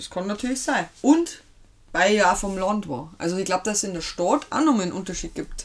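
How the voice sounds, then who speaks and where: In a plain, everyday voice, a woman speaks at a medium pitch and a fairly quick pace. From Lower Bavaria, Germany. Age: 30s. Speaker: host's wife, pop culture fan. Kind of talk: casual chat.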